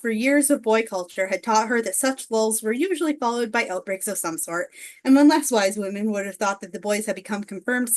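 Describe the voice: Reading aloud, plainly done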